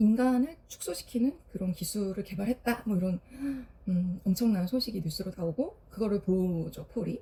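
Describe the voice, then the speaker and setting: Somewhat breathy female voice with a dark, mellow tone, medium pitch and fairly slow pace. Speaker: florist and vlogger. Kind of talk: casual film review vlog. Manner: hesitant, many fillers.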